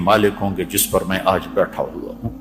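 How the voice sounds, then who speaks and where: A man is talking. There is music in the background. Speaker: Islamic preacher giving a sermon. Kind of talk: emotional religious sermon.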